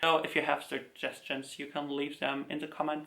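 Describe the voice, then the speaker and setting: This man's tone is bright and sharp. He speaks with a slight German accent. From Germany. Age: 20s. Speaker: K-pop collector YouTuber. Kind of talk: casual talk video to camera.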